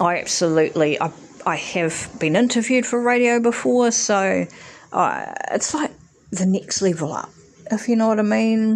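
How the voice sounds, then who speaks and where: With a New Zealand accent, a woman speaks at a moderate pace in a fairly high voice with lively intonation. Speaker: podcast host. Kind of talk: solo monologue. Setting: home recording. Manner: hesitant, many fillers.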